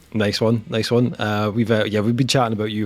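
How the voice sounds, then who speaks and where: Speaking with a Scottish accent, a man keeps a moderate pace, a fairly low pitch and fairly even intonation. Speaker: podcast host.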